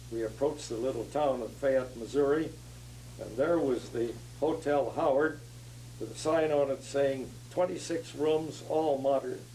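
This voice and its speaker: A man's dark, mellow voice at a moderate pace, with audible room echo. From US West, southern California. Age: 90s. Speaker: retired engineer, past society president. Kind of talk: oral history interview. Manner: halting, many fillers.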